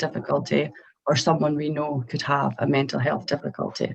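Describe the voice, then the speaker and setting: A woman talks in a Scottish accent. Her pitch is very deep and low, with ordinary variation. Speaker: mental health professional. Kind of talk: educational talk to students.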